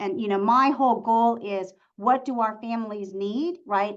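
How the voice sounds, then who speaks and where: A woman with an unremarkable speaking voice and a fairly high pitch talks at a moderate pace with ordinary pitch variation. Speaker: school district superintendent. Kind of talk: webinar presentation.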